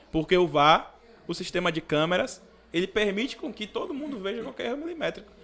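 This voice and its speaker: A man talks fairly quickly at a high pitch, his voice swinging very widely up and down. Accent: Bahian. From Brazil, Salvador (Bahia). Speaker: police officer cadet; podcast guest. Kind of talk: casual podcast interview. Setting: studio. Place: studio. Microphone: studio mic.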